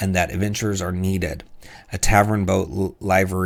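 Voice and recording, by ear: Someone reading aloud in a natural voice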